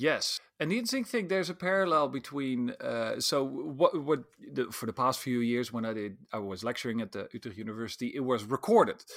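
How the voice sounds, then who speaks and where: On a very clean recording with a silent background, a man in an ordinary speaking voice talks at a fairly quick pace with lively intonation. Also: medium pitch for a man, hardly any pauses. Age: 40s. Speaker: social psychologist and futurist. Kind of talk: interview.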